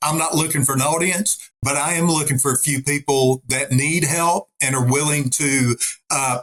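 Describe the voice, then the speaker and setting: Pitched fairly high for a man, this speaker's voice is easy to pick out. He keeps a moderate pace. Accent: American. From Arkansas. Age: 60s. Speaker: retired army officer and pastor. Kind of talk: interview conversation. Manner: animated.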